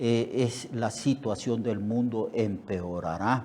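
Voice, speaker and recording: Heard with audible room echo, a man of medium pitch and a dark, mellow tone speaks very slowly with ordinary pitch variation. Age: 70s. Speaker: pastor. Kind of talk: sermon. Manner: halting, many fillers and repetitions.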